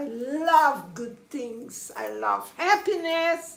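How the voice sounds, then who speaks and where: Room echo can be heard as a woman speaks with a non-native accent. Her pace is very slow. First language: Portuguese. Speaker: spiritual coach. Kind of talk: livestream monologue. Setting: live stream on camera. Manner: emphatic.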